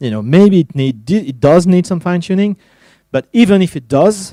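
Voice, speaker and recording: Dry and close with no echo, a man's voice carries a dark, mellow tone, lively intonation, and a French accent. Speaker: tech evangelist. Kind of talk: conference talk. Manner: halting, many fillers.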